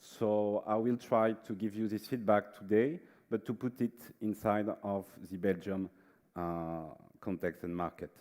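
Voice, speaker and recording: In a French accent, a man with a fairly low pitch speaks at a fairly slow pace with ordinary pitch variation. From France. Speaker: management consultant. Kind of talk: conference presentation. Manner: hesitant, many fillers.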